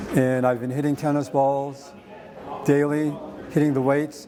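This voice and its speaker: Noticeable background noise accompanies a man talking at a fairly slow pace with monotone, flat intonation. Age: 70s. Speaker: hip replacement patient. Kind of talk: testimonial. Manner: halting, with fillers and restarts.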